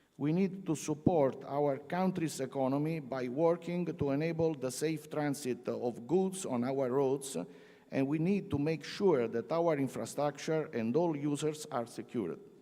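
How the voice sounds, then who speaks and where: A man's fairly high-pitched voice, dark and mellow in tone, at a fairly slow pace with ordinary pitch variation. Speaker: road agency executive giving opening address. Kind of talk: formal conference speech. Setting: conference hall with audience.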